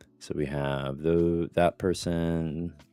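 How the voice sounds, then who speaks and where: Music plays in the background. A man speaks very slowly with a very deep, low pitch. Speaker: writing livestream host. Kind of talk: casual chat. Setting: livestream with headset. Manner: monotone.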